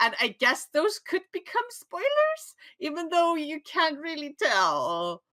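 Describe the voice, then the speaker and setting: Speaking at a very slow pace, a woman talks with an Icelandic accent. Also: dry, close sound with no echo. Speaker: podcast co-host. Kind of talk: casual chat.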